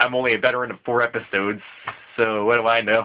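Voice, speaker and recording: This man talks fairly quickly at a medium pitch. He is quiet, with fairly even intonation. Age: young. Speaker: gaming podcast co-host. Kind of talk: solo vlog. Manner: halting.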